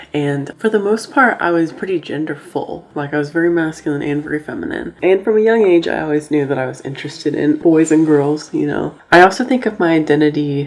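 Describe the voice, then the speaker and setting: With an American accent, a woman speaks at a fairly quick pace in a very deep, low voice with ordinary pitch variation. Noticeable background noise can be heard. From Oklahoma, US. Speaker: YouTuber. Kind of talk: casual vlog monologue.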